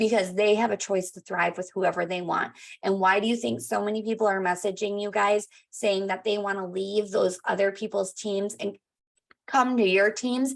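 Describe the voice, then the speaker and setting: With a quiet background, an ordinary speaking voice is heard. It keeps a moderate pace and ordinary pitch variation. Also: woman, medium pitch for a woman. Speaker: sales team leader. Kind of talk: team training.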